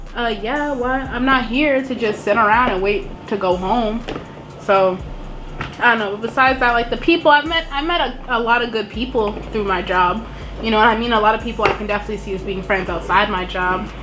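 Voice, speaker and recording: Music plays in the background as a woman with an American accent speaks at a fairly quick pace. Her pitch is fairly high with ordinary variation, and there is audible room echo. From Boston. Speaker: YouTuber. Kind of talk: casual chat.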